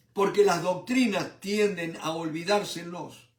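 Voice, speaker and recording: Audible room echo follows a man who talks very slowly at a high pitch with ordinary pitch variation. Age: 70s. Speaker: preacher. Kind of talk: sermon. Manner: animated.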